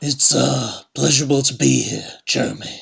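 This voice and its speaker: A put-on, raspy character voice from a man, delivered at a moderate pace. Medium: audio drama. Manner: dry, curt, deadpan.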